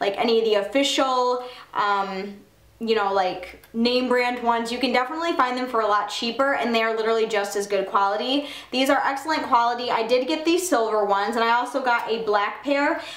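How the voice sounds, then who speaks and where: With audible room echo, a woman speaks at a fairly quick pace with ordinary pitch variation. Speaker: fashion vlogger. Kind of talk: casual vlog chat. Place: home room.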